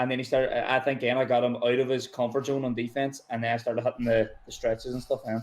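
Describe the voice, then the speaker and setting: Speaking at a very fast pace with hardly any pauses, a man with a Northern Irish accent and a medium pitch uses monotone, flat intonation. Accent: Derry. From Northern Ireland, Derry. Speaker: video game tournament champion, American football player. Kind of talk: post-game interview.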